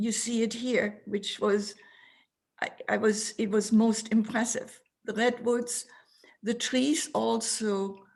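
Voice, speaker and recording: A woman speaks very slowly in a fairly high, somewhat breathy voice. Her intonation stays monotone and flat. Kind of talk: interview answer describing photos. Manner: passionate.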